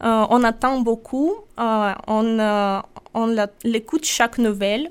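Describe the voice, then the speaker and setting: A woman talks with a fairly high pitch. The recording is very clean and the background is silent. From Russia, Sakhalin. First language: Russian (speaking French). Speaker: European volunteer. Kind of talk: radio interview. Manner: halting.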